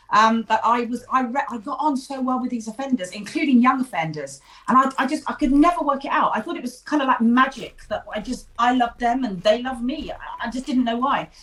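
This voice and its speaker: In an English accent, the speaker talks at a fairly quick pace over noticeable background noise. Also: woman, high pitch for a woman, ordinary pitch variation. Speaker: ADHD therapist and author. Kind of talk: interview. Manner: talkative.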